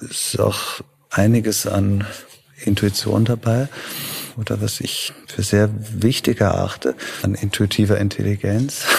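With long, frequent pauses, a man talks at a fairly slow pace in a fairly low voice, his intonation fairly even amid noticeable background noise. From Germany, then Vienna from age 13. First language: Italian (speaking German). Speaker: festival director and pianist. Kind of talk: interview.

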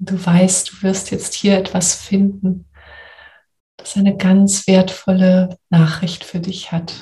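A woman's soothing, gentle voice at medium pitch, dark and mellow in tone, somewhat breathy, monotone and flat, at a very slow pace. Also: big swings in loudness. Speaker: coach and podcast host. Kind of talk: guided meditation. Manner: slow, soothing, gentle; calm, warm, soft-spoken.

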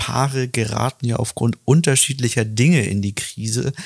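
A man speaks in an ordinary speaking voice at a medium pitch. The sound is dry and close with no echo, in a very clean recording with a silent background. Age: 30s. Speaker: relationship coach and podcast host. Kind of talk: casual interview.

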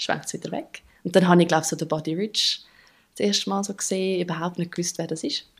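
A woman at fairly low pitch with ordinary pitch variation and a very fast pace, on a very clean recording with a silent background. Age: 30s. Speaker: drummer and therapist. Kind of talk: interview.

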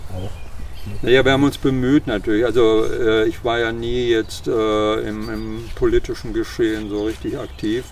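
A man talks at a moderate pace with hardly any pauses, noticeable background noise behind him. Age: old. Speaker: social worker. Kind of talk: interview. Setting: outdoors in a garden.

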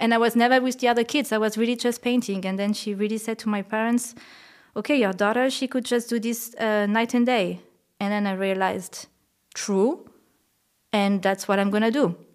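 Very clean recording, silent background. A woman with a French accent talks at a fairly quick pace and fairly high pitch. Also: fairly even intonation. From France, La Creuse countryside. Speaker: painter. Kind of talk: interview.

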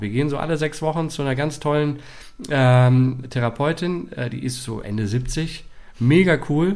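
Here a man with an unremarkable speaking voice talks fairly slowly at a medium pitch, with ordinary pitch variation. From Dortmund, Ruhr area, Germany. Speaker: actor. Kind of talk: casual interview. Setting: apartment, sharing one microphone with partner.

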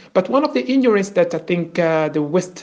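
Lively in intonation, a man talks in a high-pitched voice. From DR Congo, Kinshasa. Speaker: Luba royal descendant. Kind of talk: testimony. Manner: halting.

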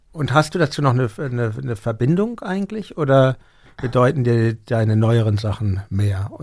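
In a very clean recording with a silent background, a man with an unremarkable speaking voice talks at a moderate pace and medium pitch with lively intonation. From Hamburg. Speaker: podcast host and musician. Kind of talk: interview. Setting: studio.

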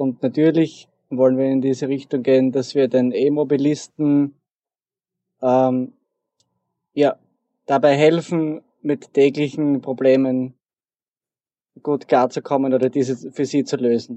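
The man's intonation is monotone and flat. He talks at a fairly slow pace with long, frequent pauses. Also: medium pitch for a man. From Austria, southeastern Styria. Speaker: programmer. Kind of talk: interview.

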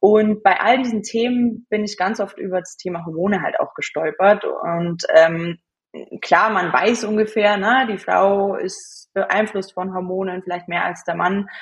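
Somewhat breathy speech at a fairly slow pace with fairly even intonation. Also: woman, medium pitch for a woman. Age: 20s. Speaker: hormone and cycle coach. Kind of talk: interview.

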